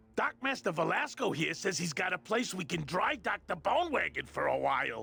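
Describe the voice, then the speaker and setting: A man adopts a put-on character voice, pitched high and delivered at a moderate speed. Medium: video game. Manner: friendly, enthusiastic.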